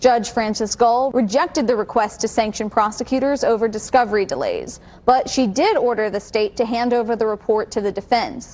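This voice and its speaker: Noticeable background noise sits behind a woman with a fairly high voice and ordinary pitch variation. She talks at a fairly quick pace with hardly any pauses. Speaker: TV news anchor. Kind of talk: single anchor newscast read.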